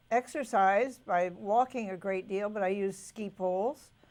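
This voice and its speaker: At a very slow pace, a woman with a medium pitch keeps her intonation fairly even. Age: 80s+. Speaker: designer. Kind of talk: interview answer.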